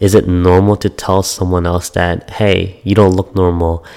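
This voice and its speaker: A man speaks at a moderate pace in a very deep, low pitch with a dark, mellow tone. His intonation is monotone and flat, and the recording is very clean with a silent background. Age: 20s. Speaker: podcast host. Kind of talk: personal storytelling monologue.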